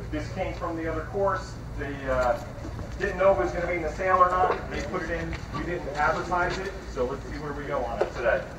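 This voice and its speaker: A man talking at a very fast pace, with noticeable background noise. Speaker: auctioneer. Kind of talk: casual talk to the crowd before bidding. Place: street. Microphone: camera far.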